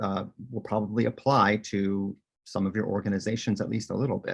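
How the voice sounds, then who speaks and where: A man's voice, fairly low in pitch. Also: quiet background. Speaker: technology consultant. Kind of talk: webinar presentation. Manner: fast.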